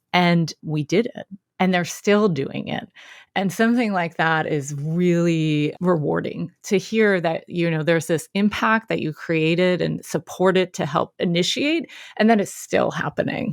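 In an ordinary speaking voice, a woman with an American accent talks at a fairly slow pace, her fairly low pitch moving with ordinary variation, the sound dry and close with no echo on a very clean recording over a silent background. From Philadelphia, US. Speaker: education consultant and coach. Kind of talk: interview conversation.

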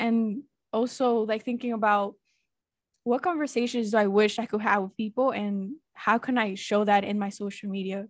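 Over a quiet background, a woman with an ordinary speaking voice talks at a moderate pace, fairly high in pitch, with fairly even intonation. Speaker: podcast host. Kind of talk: casual interview chat.

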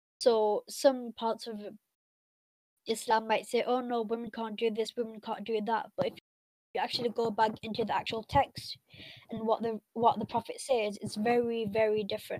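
Heard dry and close with no echo, a woman with a Mancunian accent speaks at a fairly high pitch with monotone, flat intonation. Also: moderate pace. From Manchester area, England, of Pakistani Pashtun heritage. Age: 20s. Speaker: university religion student and Islamic scholar. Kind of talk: casual interview chat.

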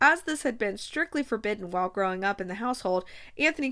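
An unforced reading voice, its intonation lively

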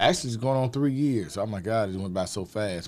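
A man talking at a fairly quick clip with a Southern US accent. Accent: Southern US (Georgia). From Athens, Georgia, US South. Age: 50s. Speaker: community outreach worker, school alumnus. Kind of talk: interview.

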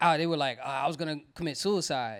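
The recording is very clean, with a silent background. A man speaks with ordinary pitch variation. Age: 30s. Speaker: YouTuber and podcast co-host. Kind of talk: casual chat.

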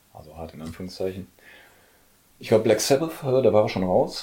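A man's dark, mellow voice at a very fast pace, lively in intonation with big swings in loudness and long, frequent pauses, on a very clean recording with a silent background. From Ruhr area, Germany (Oberhausen). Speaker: music label owner. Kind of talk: casual chat. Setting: at home.

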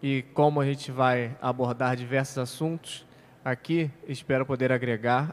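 Speaking in a medium pitch, a man delivers his words at a moderate pace with monotone, flat intonation. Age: 20s. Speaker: civil engineer, church member. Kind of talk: casual religious discussion podcast.

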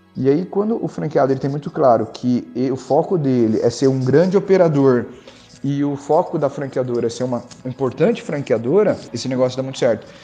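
A man's fairly high-pitched voice at a fairly quick pace, with noticeable background noise. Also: ordinary pitch variation. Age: 30s. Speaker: ice cream business owner. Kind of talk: interview.

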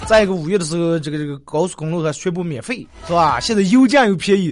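A high-pitched man at a very fast pace, animated in tone, lively intonation, noticeable background noise behind him. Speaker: radio talk show host. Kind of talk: dialect comedy talk show.

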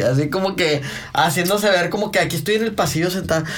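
A man's animated, high-pitched voice at a very fast pace, lively in intonation, with noticeable background noise and audible room echo. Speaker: podcast host. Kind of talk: casual chat.

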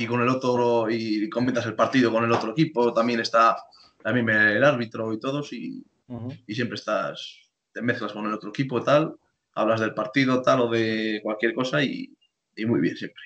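Monotone, flat intonation at a moderate pace. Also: man, medium pitch for a man. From Spain, Torquemada (Palencia). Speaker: rugby player. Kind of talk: casual chat.

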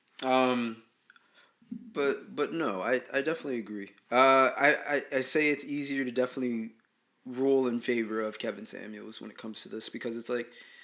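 Here is a man with a plain, everyday voice at medium pitch. He talks at a moderate pace with ordinary pitch variation. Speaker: podcast host. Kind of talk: casual chat.

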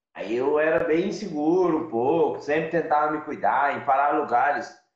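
Audible room echo surrounds a man whose fairly high voice keeps fairly even intonation. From interior of São Paulo state, Brazil. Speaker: van-life traveler. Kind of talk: casual interview. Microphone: unstable internet connection.

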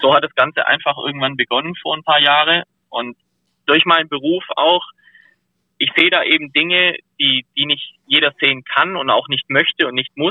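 Moving at a moderate pace, an unremarkable speaking voice keeps its intonation fairly even. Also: man, fairly high pitch for a man. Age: 30s. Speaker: professional firefighter and diver, ice bather. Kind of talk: casual interview chat.

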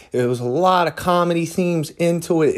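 Speaking at a moderate pace, a man with an American accent shows ordinary pitch variation. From Philadelphia. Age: 30s. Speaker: podcast host. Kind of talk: casual monologue. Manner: casual, many fillers.

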